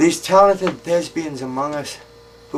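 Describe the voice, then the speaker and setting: A man's fairly slow speech, with ordinary pitch variation, comes over noticeable background noise. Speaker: poet. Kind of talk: poetry reading. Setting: outdoors. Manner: wry, darkly humorous.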